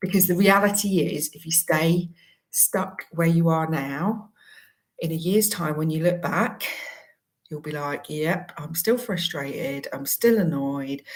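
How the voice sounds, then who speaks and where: At a fairly slow pace, a woman speaks somewhat breathily with big swings in loudness. Her fairly low pitch varies in an ordinary way. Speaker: career coach. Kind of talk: promotional talk to camera.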